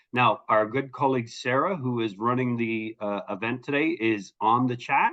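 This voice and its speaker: Here is a man with a normal speaking voice at a medium pitch. His pace is moderate and his pitch variation ordinary. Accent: Canadian. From Canada. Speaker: HR consultant. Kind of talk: webinar presentation.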